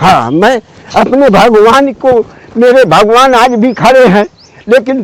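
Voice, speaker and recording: An extremely high-pitched man, very slow, with ordinary pitch variation and noticeable background noise. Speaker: hermit ascetic holy man. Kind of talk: spiritual conversation.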